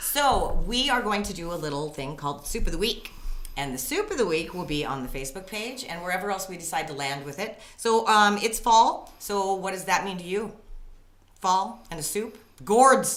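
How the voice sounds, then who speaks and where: A woman with an American accent talks at a medium pitch and a moderate pace, her pitch swinging very widely and her loudness shifting greatly. Noticeable background noise and audible room echo fill the recording. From Spokane, Washington. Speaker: podcast host. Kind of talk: casual chat.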